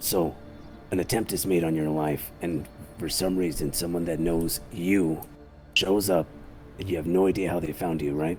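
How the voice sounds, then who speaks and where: A man uses a put-on character voice that is raspy and very deep, with clear music in the background. He keeps a moderate pace but takes long, frequent pauses. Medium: game stream. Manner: measured, methodical.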